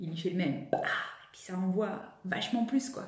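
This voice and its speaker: The voice has an animated tone, with audible room echo around it. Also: woman. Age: 30s. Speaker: vlogger and personal development coach; vlogger, personal development coach. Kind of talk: vlog monologue to camera. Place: home room. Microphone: phone near.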